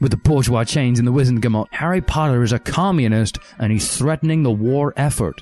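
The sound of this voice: An unforced reading voice is heard here.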